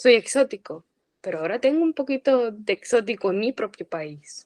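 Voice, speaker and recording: A woman with a fairly high pitch talks at a moderate pace, her pitch swinging very widely. The sound is dry and close with no echo. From Puerto Rico. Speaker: former language student, emigrant. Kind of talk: interview conversation.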